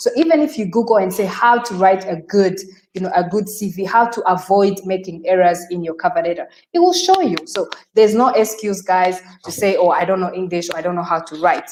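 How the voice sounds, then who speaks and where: With a Rwandan accent, a woman speaks at a moderate pace with ordinary pitch variation. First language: Kinyarwanda. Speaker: career expert. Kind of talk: webinar discussion. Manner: halting.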